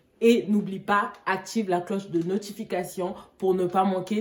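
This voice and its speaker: A woman at a fairly slow pace, fairly even intonation, noticeable background noise behind her. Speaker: fashion YouTuber. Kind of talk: try-on haul vlog.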